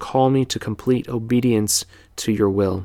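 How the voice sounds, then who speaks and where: A man with a plain, everyday voice, ordinary pitch variation and a fairly slow pace. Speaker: church podcast host. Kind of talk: podcast monologue, with a read-aloud devotional prayer; slow, earnest, reverent prayer read aloud in a hushed, solemn voice. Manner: warm, conversational, sincere; hushed, measured, fervent in prayer.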